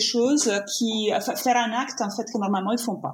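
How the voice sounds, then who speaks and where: A woman with an Italian accent speaks in a fairly high pitch. Her intonation is fairly even. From Italy. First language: Italian (speaking French). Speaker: painter and yoga teacher. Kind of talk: interview conversation. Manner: halting.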